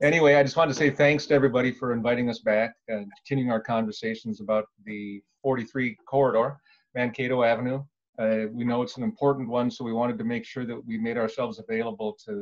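In a quiet background, a man talks at a very fast pace with fairly even intonation. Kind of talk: presentation to council. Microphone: video call.

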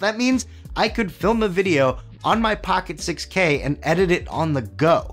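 A man speaks in a high pitch with very wide pitch swings and an upbeat tone. Music plays in the background. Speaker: video editing YouTuber. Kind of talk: tech review talk to camera. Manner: casual, upbeat.

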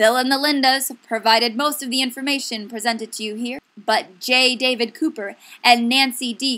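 Here a woman speaks in a high pitch at a moderate pace, her voice raised and projected. Her tone is bright and sharp, upbeat and playful. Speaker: education video presenter. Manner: upbeat, gushing, salesy, with playful exaggerated enthusiasm and rhetorical questions.

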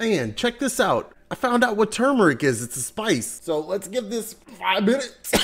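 With lively intonation, a man speaks at a moderate pace in a high pitch. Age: 40s. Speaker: product reviewer. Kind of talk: casual talk to camera. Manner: jokey, casual. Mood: relaxed, amused. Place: home room. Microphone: webcam.

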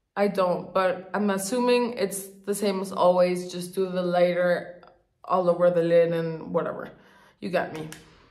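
The background has little sound in it. A woman speaks at a medium speed, her pitch staying fairly level. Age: 30s. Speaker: beauty youtuber. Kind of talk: casual chat. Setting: home, on a couch. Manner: chatty. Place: bathroom. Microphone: phone near.

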